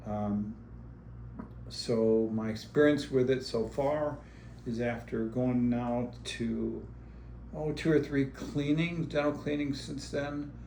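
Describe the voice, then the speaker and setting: Speaking at a very slow pace with long, frequent pauses, a man is heard with audible room echo. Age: 70s. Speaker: businessman and dental patient. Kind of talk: patient testimonial interview. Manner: casual, with frequent fillers.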